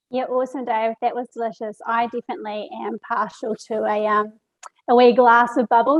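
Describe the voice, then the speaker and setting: In a New Zealand accent, a woman speaks at a fairly high pitch in a dry, close sound with no echo. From New Zealand, Marlborough Sounds. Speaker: webinar host. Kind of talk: event hosting.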